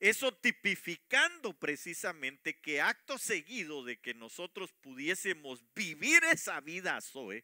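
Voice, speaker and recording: With a bright, sharp tone, a man speaks at a high pitch and a fairly slow pace, his voice making very wide pitch swings. He hardly pauses, and the sound is dry and close with no echo. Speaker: preacher. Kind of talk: sermon. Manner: halting, many fillers.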